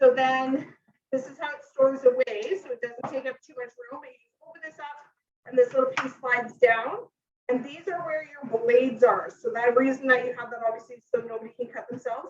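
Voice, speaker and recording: A woman's high voice at a fairly quick pace, with big swings in loudness and ordinary pitch variation. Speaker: cooking demonstrator, kitchen product consultant. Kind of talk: live cooking demonstration. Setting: home kitchen live stream. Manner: casual, filler-heavy.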